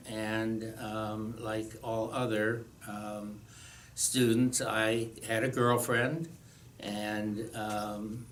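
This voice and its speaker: A man's medium-pitched voice at a very slow pace, with big swings in loudness and audible room echo. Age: 70s. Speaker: retired teacher sharing life story. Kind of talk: personal testimony. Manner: hesitant, many fillers.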